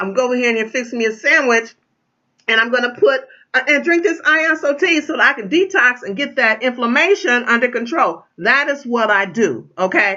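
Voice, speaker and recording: A woman is speaking. Her voice sits high in pitch. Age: 60s. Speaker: tea distributor. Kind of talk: sales pitch. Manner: casual, with many fillers.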